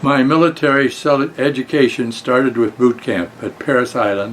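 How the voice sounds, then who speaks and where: A man speaks at a moderate pace with an American accent. There is noticeable background noise. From Colorado, Denver. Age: 90s. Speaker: war veteran. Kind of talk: prepared talk to students. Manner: halting.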